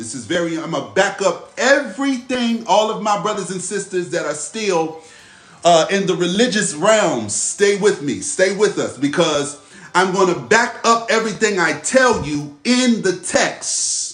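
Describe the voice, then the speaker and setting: A man's high-pitched voice with lively intonation at a fairly slow pace, with audible room echo and music in the background. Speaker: spiritual teacher. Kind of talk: live religious teaching session. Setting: livestream. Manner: repetitive, emphatic; slow, deliberate when reading scripture.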